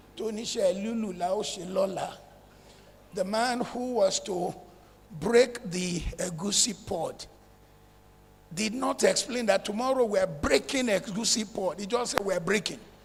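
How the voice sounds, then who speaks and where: Noticeable background noise fills the recording. Through it, a man speaks at a fairly slow pace, his pitch varying ordinarily. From northern Nigeria (Zaria, Kaduna). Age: 70s. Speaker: real estate developer. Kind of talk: conference talk.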